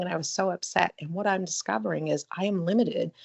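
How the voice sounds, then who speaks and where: A woman's fairly low voice at a fairly quick pace. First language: French. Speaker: webinar presenter. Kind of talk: webinar Q&A.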